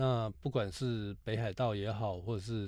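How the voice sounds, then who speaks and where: A man speaks at a medium pitch with a Taiwanese accent. The recording is very clean, with a silent background. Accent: Taiwanese Mandarin. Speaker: podcast co-host, car enthusiast. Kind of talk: casual chat.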